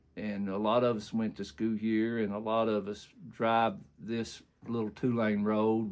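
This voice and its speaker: A man's medium-pitched voice at a fairly slow pace, on a very clean recording with a silent background. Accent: Appalachian. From southeastern Kentucky, US. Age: 60s. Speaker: community elder interviewee. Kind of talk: oral history interview. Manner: halting with many fillers.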